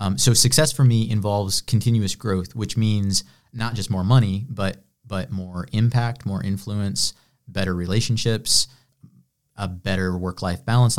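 In a very clean recording with a silent background, a man with an American accent and a fairly low pitch talks in a normal speaking voice at a moderate pace with ordinary pitch variation. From Illinois, US Midwest. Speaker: entrepreneur and business coach. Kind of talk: interview conversation.

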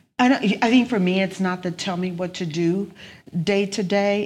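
A woman with a Louisiana accent at a very slow pace, fairly even in intonation, on a very clean recording with a silent background. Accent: Louisiana Southern US. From South Louisiana, Lake Charles. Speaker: accountant and business owner. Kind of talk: interview conversation.

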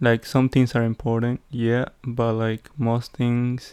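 Fairly slow, monotone, flat delivery in a Spanish accent, with a dry, close sound and no echo. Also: man. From Peru. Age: 20s. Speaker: podcaster. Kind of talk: casual solo monologue. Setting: home recording with background noise. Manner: halting, many fillers.

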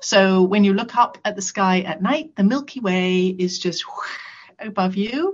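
Somewhat breathy, a woman's voice sits at medium pitch. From England. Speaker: camp founder. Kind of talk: interview.

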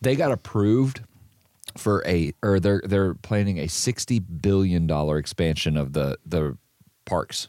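With an American accent, a man speaks fairly slowly in a very deep, low pitch and a dark, mellow tone, his intonation lively and the sound dry and close with no echo. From northern US. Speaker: podcast co-host at a trucking company. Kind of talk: casual chat.

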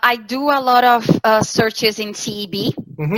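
In a Portuguese accent, the speaker goes at a fairly slow pace with ordinary pitch variation, recorded with a dry, close sound and no echo. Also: woman. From southern Brazil, Santa Catarina. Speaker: talent sourcing specialist. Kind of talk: interview. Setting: video call. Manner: hesitant with fillers.

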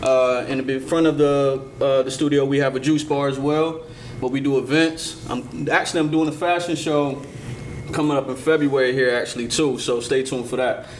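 Speaking in an American accent with monotone, flat intonation, a man is heard through audible room echo and noticeable background noise. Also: fairly high pitch for a man, moderate pace. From Portsmouth, Virginia. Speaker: rapper. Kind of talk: casual chat. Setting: studio.

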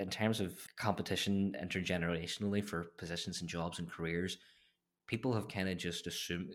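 A man with a Derry accent, very deep and low-pitched, at a fairly quick pace, on a very clean recording with a silent background. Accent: Northern Irish (Derry). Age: 20s. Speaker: political advisor. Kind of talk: casual interview. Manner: halting.

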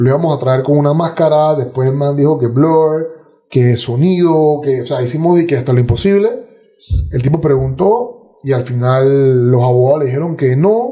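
A man talks at a moderate pace in a fairly high pitch, with a dark, mellow tone and ordinary pitch variation. His voice is somewhat breathy. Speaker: podcaster and martial arts fighter. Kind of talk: casual interview conversation.

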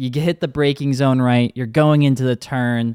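A man with an American accent has a plain, everyday voice at a medium pitch and a fairly quick pace. The very clean recording has a silent background and a dry, close sound with no echo. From Wisconsin (Eau Claire). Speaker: podcast host. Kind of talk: casual chat.

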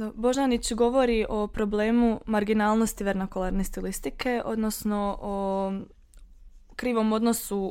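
A woman's medium-pitched, monotone voice at a moderate pace, flat in intonation, on a very clean recording with a silent background. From western Herzegovina, Bosnia and Herzegovina. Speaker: student discussing dialects. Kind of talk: casual academic discussion.

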